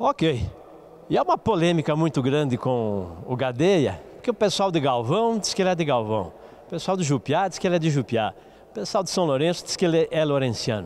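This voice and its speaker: The speech moves at a moderate pace with very wide pitch swings. Light background noise is present. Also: man. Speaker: TV sports show host. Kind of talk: TV interview. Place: hall. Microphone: handheld.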